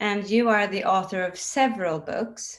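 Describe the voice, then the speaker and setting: A woman with a Swedish accent, medium pitch and moderate pace. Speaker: interviewer for a book publisher. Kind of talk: interview.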